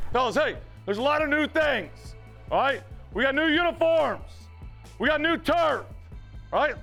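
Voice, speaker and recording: With music in the background, a man with an extremely high pitch speaks in an energetic tone, his pitch varying in an ordinary way. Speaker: high school football coach. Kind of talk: locker-room pep talk to team. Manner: energetic, emphatic.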